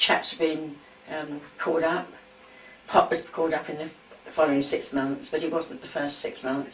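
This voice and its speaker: A woman with a London accent speaks at a very deep, low pitch in a monotone, flat intonation, at a fairly slow pace with long, frequent pauses. Her loudness swings a lot, and there is noticeable background noise. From London, England. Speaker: war eyewitness. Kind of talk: oral history reminiscence.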